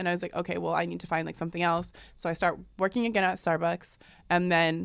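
Speaking very fast with vocal fry, a woman with a fairly low pitch is heard on a very clean recording with a silent background. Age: 20s. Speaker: model and podcast host. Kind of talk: casual chat. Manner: animated.

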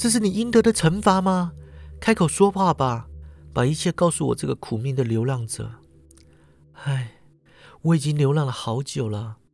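The voice is somewhat breathy, with an animated, dramatic tone and very wide pitch swings at a moderate pace. The recording is very clean with a silent background. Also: man. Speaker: podcast host. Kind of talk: mythic storytelling narration. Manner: animated, dramatic storyteller; uses sentence-final particles, casual tone.

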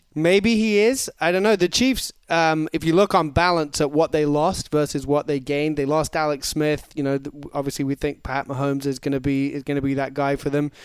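Speaking with an English accent, a man goes at a fairly quick pace with hardly any pauses, a fairly high pitch and ordinary pitch variation, in a dry, close sound with no echo on a very clean recording with a silent background. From England. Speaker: football analyst. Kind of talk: casual chat. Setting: studio.

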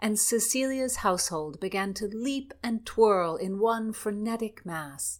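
Read aloud in a natural voice. The pitch moves in an ordinary way.

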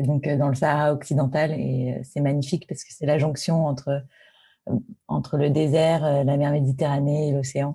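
Somewhat breathy and dark, mellow in tone, a woman speaks at a moderate pace with a very deep, low pitch and monotone, flat intonation. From Paris, France. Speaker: tech executive. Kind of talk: interview.

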